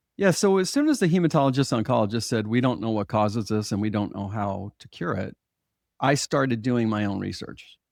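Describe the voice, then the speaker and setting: A man with a plain, everyday voice speaks at a medium pitch and fairly quick pace with lively intonation, on a very clean recording with a silent background. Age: 60s. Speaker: hypnotherapist. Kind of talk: interview.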